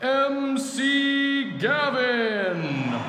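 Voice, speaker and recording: A man's high-pitched, raised and projected voice amid noticeable background noise. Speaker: parent narrator. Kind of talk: children's story narration, audiobook style.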